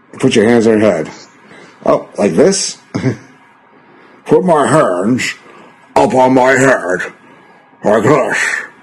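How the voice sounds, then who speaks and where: A man's put-on character voice at a medium pitch, fairly slow, with long, frequent pauses. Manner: stiff, obedient.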